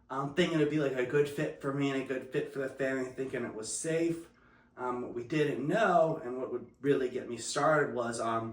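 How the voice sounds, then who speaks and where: In an American accent, a man speaks at a fairly quick pace with ordinary pitch variation and fairly high pitch. Room echo is audible. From New Jersey. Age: 30s. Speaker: recovering addict. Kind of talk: testimony interview.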